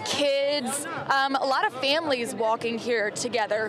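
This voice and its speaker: Crowd noise fills the background as a woman talks at a moderate pace. Her pitch is high, with ordinary pitch variation. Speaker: TV news reporter and anchor. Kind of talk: live TV field report. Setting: outdoors.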